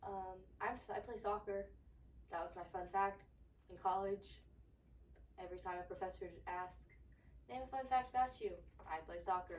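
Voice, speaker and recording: With an American accent, a woman speaks at a moderate pace, her loudness swinging widely and her speech broken by long, frequent pauses. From US South (Georgia). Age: 20s. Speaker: podcast host, former college athlete. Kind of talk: casual solo monologue.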